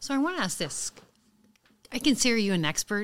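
A woman in a very clean recording with a silent background. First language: French. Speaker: police sergeant, guest co-host. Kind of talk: casual interview conversation.

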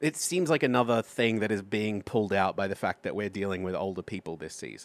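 Speaking in an Australian accent, a man talks at a moderate pace with a fairly low pitch and ordinary pitch variation. The recording is very clean, with a silent background. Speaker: podcast host. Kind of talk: casual comedic podcast chat.

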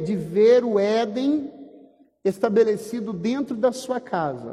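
A man's voice sits high in pitch. It shows ordinary pitch variation. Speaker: pastor. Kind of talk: sermon.

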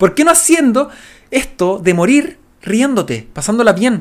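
This man speaks with a Chilean accent. His pitch makes very wide swings. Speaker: podcast co-host. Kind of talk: casual chat.

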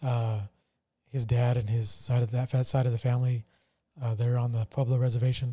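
Speaking at medium pitch with monotone, flat intonation, a man has a dark, mellow, somewhat breathy tone and leaves long, frequent pauses. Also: fairly quick pace. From New Mexico. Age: 40s. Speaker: podcast host. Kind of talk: casual chat. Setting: studio.

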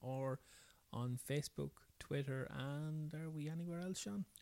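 Dark and mellow in tone, a man with an Irish accent and a fairly high pitch speaks fairly slowly with fairly even intonation, the sound dry and close with no echo. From rural Ireland. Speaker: podcast co-host.

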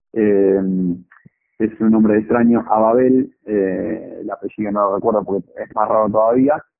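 A man talks at a fairly low pitch. His intonation is monotone and flat. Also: fairly slow pace. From Argentina, Chacabuco (Buenos Aires province). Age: 30s. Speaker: marathon runner. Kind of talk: interview.

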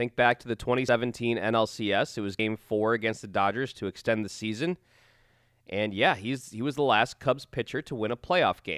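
Recorded very cleanly against a silent background, the sound is dry and close with no echo. A man speaks at a moderate pace and medium pitch with ordinary pitch variation. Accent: American. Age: 30s. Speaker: podcast host. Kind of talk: casual chat. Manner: halting, many fillers.

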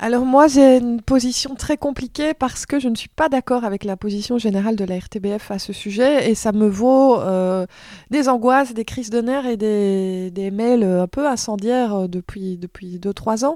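This dark, mellow voice moves at a fairly slow pace with ordinary pitch variation, on a very clean recording with a silent background. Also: woman, fairly high pitch for a woman. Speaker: film journalist and TV presenter. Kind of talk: casual interview.

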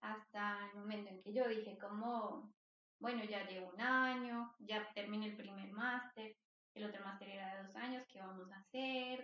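A woman talks in an ordinary speaking voice at a fairly high pitch. Her pace is moderate, and her loudness swings widely. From Colombia, Bogotá. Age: 20s. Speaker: psychologist. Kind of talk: interview.

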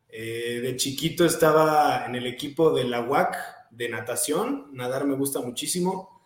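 A man talks at a fairly slow pace with ordinary pitch variation, and audible room echo surrounds his voice. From Mexico, Querétaro. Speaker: CrossFit athlete. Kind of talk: casual interview.

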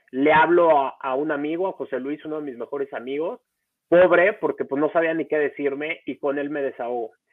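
Talking at a fairly quick pace, a man has an ordinary speaking voice, fairly high in pitch, with ordinary pitch variation. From Mexico, Acapulco. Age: 30s. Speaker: foundation founder, surfer with spinal cord injury. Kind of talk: interview, personal story. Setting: live-streamed podcast recording.

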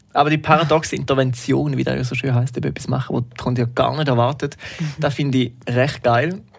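A man with a medium pitch talks at a fairly quick pace with fairly even intonation over noticeable background noise. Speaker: podcast host. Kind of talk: casual chat.

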